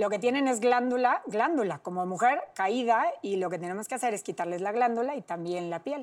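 In a plain, everyday voice, a woman with a fairly high pitch talks at a moderate pace with lively intonation on a very clean recording with a silent background. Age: 30s. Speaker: plastic surgeon. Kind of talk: interview, expert explanation.

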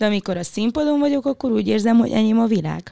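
A woman with a dark, mellow tone and lively intonation is captured in a very clean recording with a silent background and a dry, close sound with no echo. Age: 20s. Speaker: singer. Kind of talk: casual chat.

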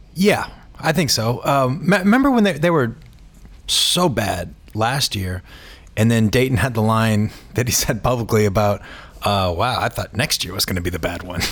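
A man's normal speaking voice, moderate pace and lively intonation. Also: medium pitch for a man. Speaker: sports columnist. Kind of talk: casual sports discussion.

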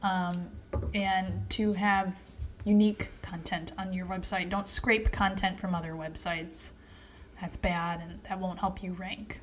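A woman's somewhat breathy, medium-pitched voice, playful in tone yet monotone and flat in intonation, at a fairly slow pace. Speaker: podcast co-host. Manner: joking, playful.

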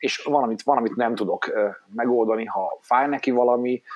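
A man's voice at a moderate pace. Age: 40s. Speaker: father, teacher and writer. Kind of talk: casual chat.

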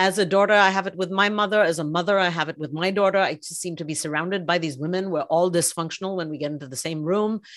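A woman's fairly low voice, very fast with hardly any pauses and fairly even intonation. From India, Mumbai. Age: 50s. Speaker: author and marketing leader. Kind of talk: interview conversation. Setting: remote call.

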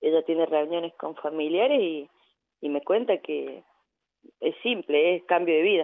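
A woman's fairly low voice at a fairly slow pace, with ordinary pitch variation and long, frequent pauses. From Argentina, Córdoba. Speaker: women's football coach. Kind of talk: radio interview.

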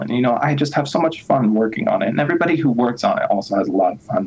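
Very fast speech from a man at a medium pitch, with noticeable background noise. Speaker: software developer, open source project founder. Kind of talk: interview. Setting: video call.

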